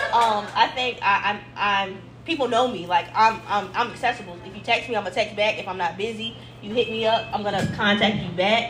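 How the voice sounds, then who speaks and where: With noticeable background noise behind her, a woman speaks at a fairly quick pace and fairly high pitch, with fairly even intonation and big swings in loudness. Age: 20s. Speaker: clothing brand owner. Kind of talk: live podcast interview. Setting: live event with audience.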